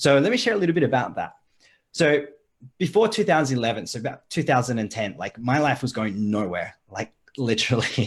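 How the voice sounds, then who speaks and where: The tone is energetic, with a slight Australian accent and a fairly quick pace. The pitch swings very widely. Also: man, medium pitch for a man. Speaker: online marketing coach. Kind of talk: live video call chat. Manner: casual, energetic.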